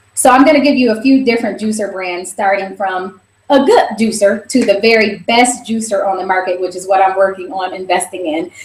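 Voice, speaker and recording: A woman's somewhat breathy, fairly high voice, fairly quick, with ordinary pitch variation. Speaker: raw food instructor. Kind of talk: online class tutorial. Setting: live video broadcast. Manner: fast.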